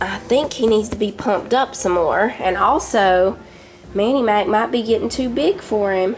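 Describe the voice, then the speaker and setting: A woman with a Southern US accent, fairly high pitch, very even loudness and a moderate pace amid noticeable background noise. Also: ordinary pitch variation. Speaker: home cooking vlogger. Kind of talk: casual cooking vlog chat.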